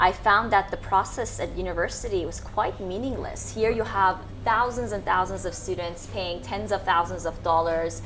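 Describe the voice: An American accent with fairly even intonation. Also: woman.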